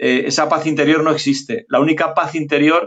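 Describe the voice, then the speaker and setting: Fairly high in pitch, a man talks at a moderate pace. His intonation stays monotone and flat. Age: 60s. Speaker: physician and journalist. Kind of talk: interview. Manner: hesitant, many fillers.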